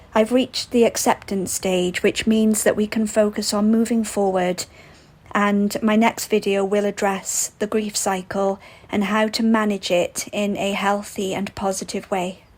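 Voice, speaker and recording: Speaking slowly-ish in a Welsh accent, a woman holds a medium pitch with monotone, flat intonation. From Wales. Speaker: vlogger. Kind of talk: casual vlog narration. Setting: outdoors on a walk.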